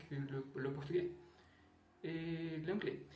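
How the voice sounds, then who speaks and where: A man speaking at a very slow pace, with audible room echo. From Brazil, Rio de Janeiro. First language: Portuguese (speaking French). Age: 20s. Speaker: language learner vlogger. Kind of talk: casual monologue. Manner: halting, with repetitions.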